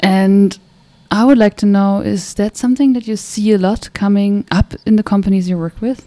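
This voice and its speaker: A woman with a German accent speaks at a moderate pace, her medium-pitched voice dark and mellow in tone. Her intonation stays fairly even, and the sound is dry and close with no echo. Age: young. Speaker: podcast host. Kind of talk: casual interview.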